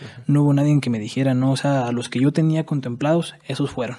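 In a Mexican accent, a man talks at a very fast pace with hardly any pauses and fairly even intonation. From Mexico, Michoacán (Pátzcuaro). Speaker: rapper. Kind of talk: casual chat. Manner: halting.

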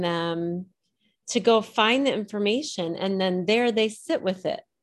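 A woman's medium-pitched, fairly slow speech in a Midwestern US accent, with ordinary pitch variation, on a very clean recording with a silent background. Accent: US Midwest. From central Illinois. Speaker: adoptee and writer. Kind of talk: interview.

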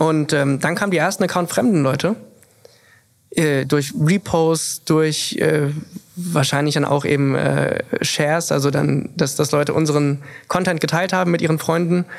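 An unremarkable speaking voice at a fairly slow pace, with very even loudness and fairly even intonation. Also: man, fairly high pitch for a man. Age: 20s. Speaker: influencer and content creator. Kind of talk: casual interview chat.

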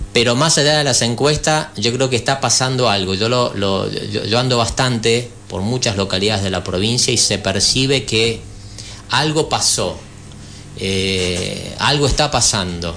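Through noticeable background noise and audible room echo, a man speaks at a fairly slow pace and medium pitch with ordinary pitch variation. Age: 50s. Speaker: former national legislator, party politician. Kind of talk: radio interview. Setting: radio studio.

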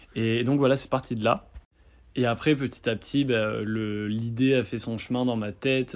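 Here a man talks at a moderate pace and medium pitch with fairly even intonation. The recording is very clean, with a silent background. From France, Bordeaux. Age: 20s. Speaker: young clothing brand founder. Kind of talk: recorded personal testimony (voice memo). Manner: hesitant, many fillers.

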